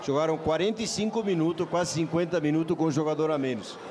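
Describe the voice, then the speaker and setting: A man with a fairly high pitch speaks at a fairly quick pace, his loudness very even and his pitch varying in an ordinary way, over noticeable background noise. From Uruguay. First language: Spanish (speaking Portuguese). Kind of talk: panel debate.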